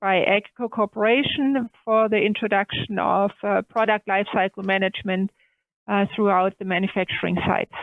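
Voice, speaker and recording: Her medium-pitched voice moves at a moderate pace in a monotone, flat intonation. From southern Germany. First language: German. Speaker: manufacturing technology director. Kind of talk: podcast interview.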